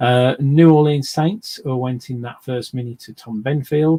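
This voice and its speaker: Dark, mellow tone from a man at a moderate pace, fairly even intonation, dry, close sound with no echo. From English Midlands, near Birmingham. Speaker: sports card box breaker, streamer. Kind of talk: live stream commentary. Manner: hesitant, many fillers.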